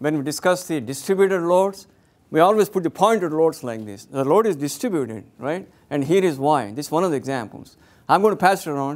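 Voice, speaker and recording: A man's fairly high, lively voice at a fairly quick pace. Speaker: engineering professor. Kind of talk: lecture. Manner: fast.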